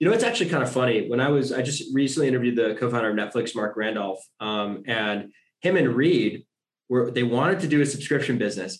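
Music plays in the background. A man talks at a fairly quick pace and medium pitch with ordinary pitch variation. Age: 20s. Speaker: podcast host. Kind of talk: interview. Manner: animated.

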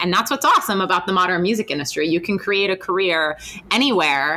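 A woman speaks at a fairly quick pace in a medium pitch with ordinary pitch variation, over noticeable background noise. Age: 30s. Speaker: podcast host and author. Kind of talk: casual interview. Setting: on location at a university.

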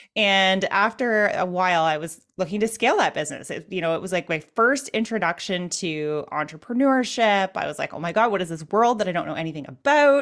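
A woman's unremarkable speaking voice with a Canadian accent, medium in pitch, lively in intonation, at a fairly quick pace with hardly any pauses, on a very clean recording against a silent background. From Canada. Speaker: e-commerce web designer and business owner. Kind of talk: interview.

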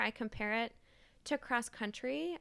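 An unremarkable speaking voice with an American accent at a fairly slow pace, ordinary pitch variation, in a very clean recording with a silent background. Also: woman. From Maine, US. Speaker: divinity student. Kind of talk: interview testimony.

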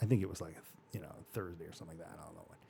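A man with an American accent. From Arizona (Mesa). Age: 40s. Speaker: orthodontist and podcast host. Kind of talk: life-story interview. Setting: studio.

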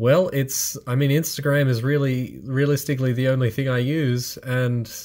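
Using fairly even intonation, a man speaks at a medium pitch. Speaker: podcast co-host. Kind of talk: casual chat.

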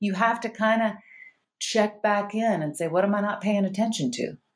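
A woman with an American accent talks at a fairly quick pace in an ordinary speaking voice of medium pitch. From US South. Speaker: functional medicine doctor. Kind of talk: casual chat. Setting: video call.

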